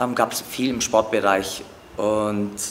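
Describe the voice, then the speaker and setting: Noticeable background noise sits behind a man's voice. His intonation stays fairly even. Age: 40s. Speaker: acrobatic dancer. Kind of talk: interview. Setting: training gym. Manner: hesitant with fillers.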